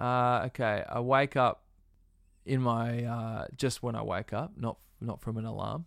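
Australian accent, male speaker. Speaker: musician. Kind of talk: interview. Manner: laid-back.

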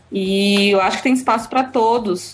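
Somewhat breathy, a woman talks at a medium pitch with ordinary pitch variation. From Bahia, Brazil (Eunápolis). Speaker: comics blogger. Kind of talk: casual interview.

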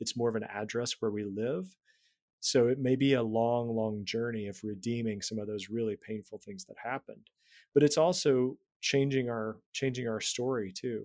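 Heard in a very clean recording with a silent background, an unremarkable speaking voice moves at a moderate pace with fairly even intonation and big swings in loudness. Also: man, medium pitch for a man. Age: 40s. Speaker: writer, spiritual director and former pastor. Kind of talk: casual interview about faith.

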